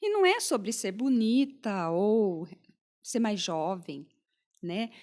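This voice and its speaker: Very slowly and with lively intonation, a woman speaks in a fairly high voice on a very clean recording with a silent background. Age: 60s. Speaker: pharmacist and podcast host. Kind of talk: interview conversation.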